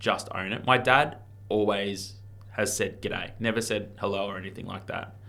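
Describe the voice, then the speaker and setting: Audible room echo surrounds a man with a bright, sharp tone and fairly low pitch who speaks at a moderate pace, his intonation fairly even but his loudness swinging widely. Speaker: real estate auctioneer and marketer. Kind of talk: casual podcast interview. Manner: casual, laid-back.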